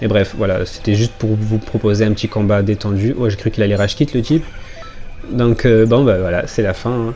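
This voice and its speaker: At a fairly quick pace, the speaker keeps a fairly even intonation over music in the background. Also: man, fairly low pitch for a man. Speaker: gaming YouTuber. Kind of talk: gameplay commentary. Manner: fast; casual, chatty.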